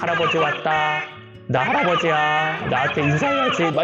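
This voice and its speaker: Loud music plays behind a man doing a put-on character voice. He talks at a moderate pace with a fairly high pitch. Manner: playful.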